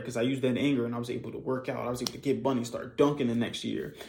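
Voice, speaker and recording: The man's voice is medium in pitch, dark and mellow in tone, with monotone, flat intonation. Audible room echo surrounds it. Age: 20s. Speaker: podcast host, copywriter. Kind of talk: casual monologue.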